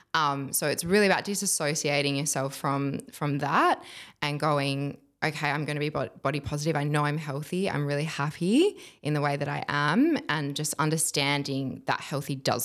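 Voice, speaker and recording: On a very clean recording with a silent background, a woman with an Australian accent speaks fairly quickly, her very deep, low pitch held in fairly even intonation. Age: 20s. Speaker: curve model. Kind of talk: casual chat.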